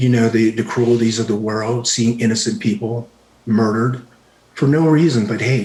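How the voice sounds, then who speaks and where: Noticeable background noise sits behind a soft-spoken man at medium pitch. He talks at a moderate pace with ordinary pitch variation. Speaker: retired army special forces veteran, martial arts teacher. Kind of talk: podcast interview answer.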